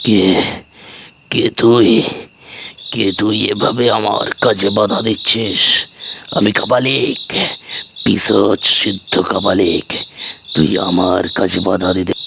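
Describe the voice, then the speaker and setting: A man does a hoarse, cartoonish character voice at a fairly low pitch and a fairly slow pace. Clear background noise can be heard. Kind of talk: cartoon story voice acting.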